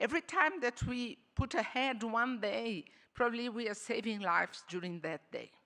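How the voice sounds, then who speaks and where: This woman's voice sits fairly high, with lively intonation and a bright, sharp tone. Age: 60s. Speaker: diplomat. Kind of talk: panel discussion. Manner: halting, many fillers.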